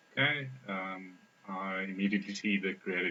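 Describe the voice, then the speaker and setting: The man has a non-native accent. He speaks at a fairly low pitch with fairly even intonation. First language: not English. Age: 20s. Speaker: software developer, test participant. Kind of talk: think-aloud usability testing.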